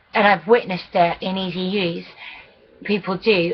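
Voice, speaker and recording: Speaking at a fairly slow pace, a woman holds a medium pitch with monotone, flat intonation. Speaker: vlogger. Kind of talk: video diary. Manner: halting.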